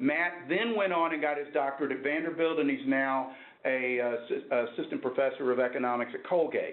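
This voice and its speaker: A man's fairly high, fairly quick voice with a Texan accent and ordinary pitch variation, amid audible room echo and noticeable background noise. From Texas, Dallas. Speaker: professor. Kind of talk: lecture. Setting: workshop with audience.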